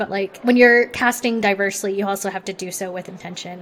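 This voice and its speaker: A woman with an American accent, medium in pitch, fairly quick, with fairly even intonation over noticeable background noise. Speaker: executive producer. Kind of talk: casual chat.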